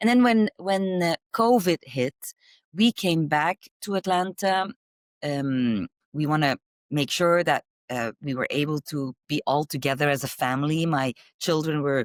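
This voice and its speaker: In a Flemish accent, a woman speaks fairly slowly with a very deep, low pitch and lively intonation, the sound dry and close with no echo on a very clean recording with a silent background. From Belgium. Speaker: marketing executive. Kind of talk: interview. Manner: halting.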